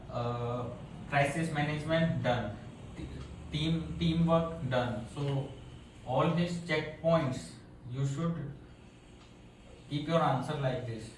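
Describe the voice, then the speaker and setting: Amid noticeable background noise and audible room echo, a man with a fairly high voice and ordinary pitch variation speaks at a very slow pace with long, frequent pauses. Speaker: maritime interview coach. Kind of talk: mock interview feedback. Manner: normal pace.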